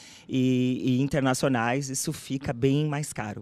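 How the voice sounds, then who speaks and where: This is a woman with a very deep, low pitch. The recording is very clean, with a silent background. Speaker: doctoral candidate. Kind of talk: thesis defense answering examiner.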